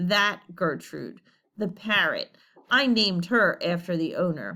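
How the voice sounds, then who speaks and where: A female-sounding, put-on character voice mumbles at a middle pitch. The pace is fairly slow. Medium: read story. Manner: hesitant, mumbling.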